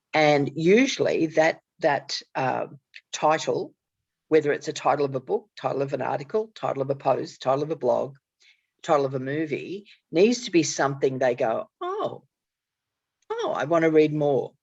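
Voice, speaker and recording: Against a quiet background, a woman with an Australian accent talks at a moderate pace with long, frequent pauses. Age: 60s. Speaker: author and networking strategist. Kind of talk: casual conversation.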